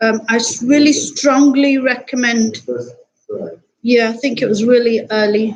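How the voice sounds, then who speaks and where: A woman's fairly high voice at a fairly slow pace, fairly even in intonation, with long, frequent pauses. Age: 60s. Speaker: academic researcher. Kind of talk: lecture.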